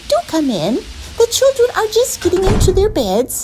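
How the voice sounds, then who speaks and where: A squeaky, female-sounding put-on character voice, pitched extremely high for a woman, speaks at a moderate pace over light background noise. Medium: read story. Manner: bright, polite.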